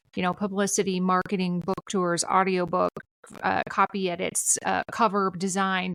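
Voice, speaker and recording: A woman speaks at a moderate pace in a medium pitch. Her intonation is flat and monotone, with a dry, close sound and no echo. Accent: Minnesotan. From Minnesota. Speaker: civic educator and author. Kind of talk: podcast interview.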